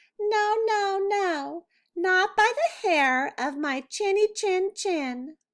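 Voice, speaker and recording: A woman does a squeaky, put-on character voice at extremely high pitch. She speaks at a very slow pace. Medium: read story. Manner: cheeky, breezy.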